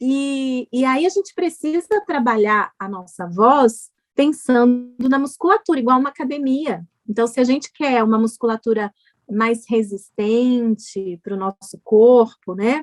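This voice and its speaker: The speech has lively intonation, a fairly slow pace and a dry, close sound with no echo. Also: woman, high pitch for a woman. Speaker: speech therapist. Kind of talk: TV health interview.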